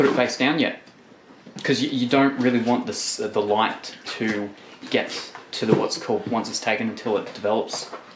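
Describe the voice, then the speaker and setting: Against noticeable background noise, a man speaks at a moderate pace with ordinary pitch variation and long, frequent pauses. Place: home room. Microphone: camera far.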